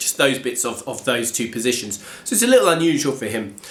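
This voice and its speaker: Over noticeable background noise and audible room echo, a man speaks with an English accent. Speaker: guitar teacher. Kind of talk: tutorial. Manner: casual, hesitant with fillers.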